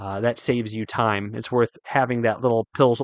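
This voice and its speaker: Over a quiet background, a man talks at medium pitch in a monotone, flat intonation, the sound dry and close with no echo. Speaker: fly fishing podcast host. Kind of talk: solo podcast tutorial. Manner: fast.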